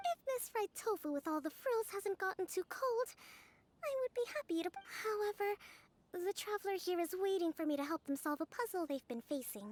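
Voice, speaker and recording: A woman does a put-on character voice at an extremely high pitch with lively intonation. She moves at a moderate pace in a dry, close sound with no echo. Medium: video game. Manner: calm, measured, polite.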